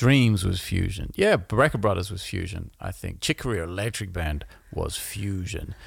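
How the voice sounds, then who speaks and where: A somewhat breathy man speaks at a fairly low pitch with ordinary pitch variation. The recording is very clean, with a silent background. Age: 40s. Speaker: musician and podcast co-host. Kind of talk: casual chat. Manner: animated.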